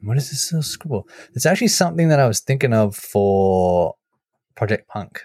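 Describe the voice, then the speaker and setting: A somewhat breathy voice with a dark, mellow tone moves at a fairly quick pace through very wide pitch swings. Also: man, medium pitch for a man. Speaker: podcast host. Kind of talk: casual banter podcast. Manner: animated.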